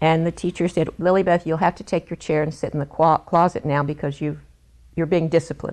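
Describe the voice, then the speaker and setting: Against a quiet background, a woman with an American accent and a fairly low pitch talks at a fairly quick pace in a monotone, flat intonation. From West Virginia, Greenbrier County (Lewisburg). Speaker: interviewee telling life story. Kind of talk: oral history storytelling.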